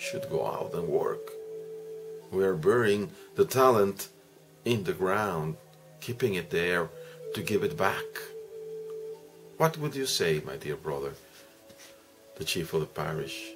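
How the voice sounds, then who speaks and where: Clear music plays in the background as a man speaks at a fairly slow pace with long, frequent pauses. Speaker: priest explaining the gospel. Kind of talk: homily-style reflection. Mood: earnest, reflective, exhorting. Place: home room. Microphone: webcam.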